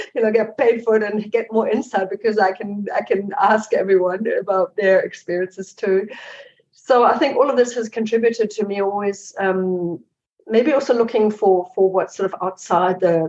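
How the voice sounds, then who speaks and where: A woman's medium-pitched voice with a German accent. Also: fairly even intonation, moderate pace. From Germany. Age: 50s. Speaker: investigative journalist and author. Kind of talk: interview. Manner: halting.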